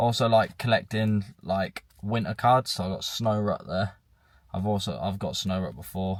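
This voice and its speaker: A man with an English accent speaks at a moderate pace and a fairly low pitch with ordinary variation. The recording is very clean, with a silent background. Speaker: vlogger. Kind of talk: casual vlog talk. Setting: in a car. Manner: loud.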